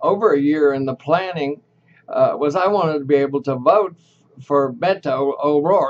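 With a Texan accent, a man speaks at a moderate pace in a fairly high pitch, showing ordinary pitch variation and big swings in loudness. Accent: Texan Southern US. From Texas, Dallas. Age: 80s+. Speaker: vlogger. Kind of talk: casual vlog monologue; casual vlog chat. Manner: halting, with repetitions. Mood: wistful. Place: home room. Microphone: webcam.

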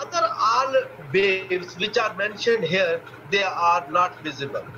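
A man speaks in a raised, projected voice at a fairly slow pace. There is noticeable background noise. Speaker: dental radiology professor. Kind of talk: lecture. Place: home room. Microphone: webcam.

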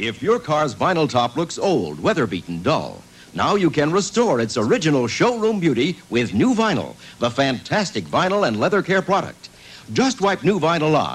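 The man keeps a moderate pace while his pitch ranges very widely from high to low. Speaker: commercial announcer. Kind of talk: advertising voice-over.

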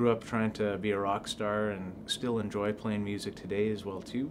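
A man with a Canadian Prairie accent talks in a fairly low pitch with monotone, flat intonation against noticeable background noise. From southern Manitoba, Canada. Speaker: real estate agent. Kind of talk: self-introduction video. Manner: hesitant, many fillers. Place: office.

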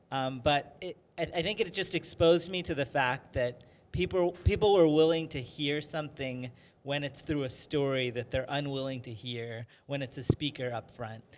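With ordinary pitch variation, a man speaks fairly slowly. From US (Maryland), Indian family. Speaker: writer and filmmaker, film professor; film professor. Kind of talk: interview. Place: studio. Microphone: handheld.

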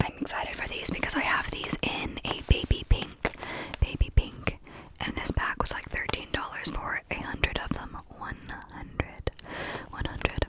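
A soft-spoken woman whispers at a moderate pace. The sound is dry with no echo, though loud background noise is present. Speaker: ASMR creator. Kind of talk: soft-spoken ASMR show-and-tell. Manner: soft close-mic ASMR whisper. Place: home room. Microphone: studio mic.

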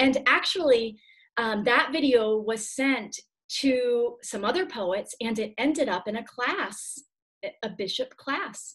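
A woman speaks at a very slow pace with a high pitch and lively intonation. The background is quiet. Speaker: poet. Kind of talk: casual video-call interview. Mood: warm, enthusiastic. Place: home room. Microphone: video call.

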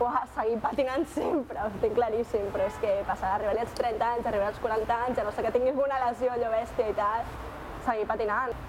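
A woman talks at a fairly quick pace and fairly high pitch, her intonation monotone and flat. Noticeable background noise runs underneath. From Catalonia, Barcelona. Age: young. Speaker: student and longboarder. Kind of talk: interview answers. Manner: casual, slangy. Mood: relaxed, smiling.

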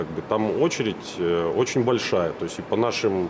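Ordinary pitch variation in a man's speech, set over noticeable background noise. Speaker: factory engineer. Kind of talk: formal question at meeting. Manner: halting.

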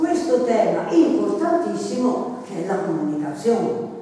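Strong room echo surrounds a woman's voice. She speaks fairly slowly at a fairly high pitch. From Florence, Italy. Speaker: literary presenter. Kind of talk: book presentation talk. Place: meeting room. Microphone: camera far.

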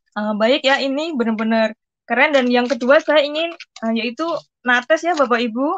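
There is light background noise as a woman speaks with a high pitch at a moderate pace. Her pitch variation is ordinary. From Central Java, Indonesia (Pati); Central Java. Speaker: migrant domestic worker. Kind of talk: product testimony. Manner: hesitant, filler-heavy. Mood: grateful, enthusiastic. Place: home room. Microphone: video call.

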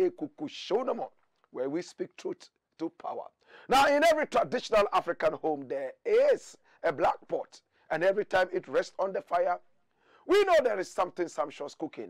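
The sound is dry, with no echo. A man talks at a moderate pace. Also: quiet background. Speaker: show host. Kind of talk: opinion show monologue. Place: studio. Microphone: lapel.

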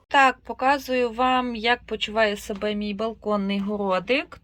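On a very clean recording with a silent background, a woman with a fairly high pitch, an unremarkable speaking voice, talks fairly slowly with ordinary pitch variation. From Ukraine, Rivne region. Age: 30s. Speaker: vlogger, mother of four. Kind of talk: casual vlog narration.

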